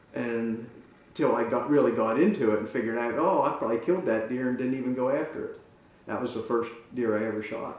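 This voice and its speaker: A very fast voice with an American accent, ordinary pitch variation and audible room echo. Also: man, medium pitch for a man. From central Pennsylvania, Lewistown. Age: 70s. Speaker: muzzleloader club member. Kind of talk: interview. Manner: halting.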